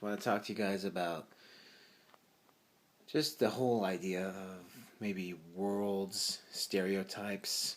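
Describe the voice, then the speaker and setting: A man talks very slowly and quietly, his pitch fairly low. His intonation stays fairly even. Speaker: vlogger. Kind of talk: casual monologue. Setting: at home at night, parents asleep.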